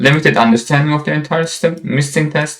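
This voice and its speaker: Fairly high in pitch and somewhat breathy, a man speaks at a fairly quick pace with fairly even intonation. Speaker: software instructor. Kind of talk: lecture.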